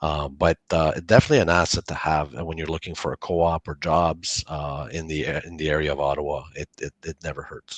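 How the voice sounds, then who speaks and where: In a Franco-Ontarian accent, a man with a very deep, low pitch talks at a fairly quick pace with hardly any pauses and monotone, flat intonation, the sound dry and close with no echo against a quiet background. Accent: Franco-Ontarian Canadian English. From Northern Ontario, Canada. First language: French. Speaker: college campus director. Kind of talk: online info session Q&A.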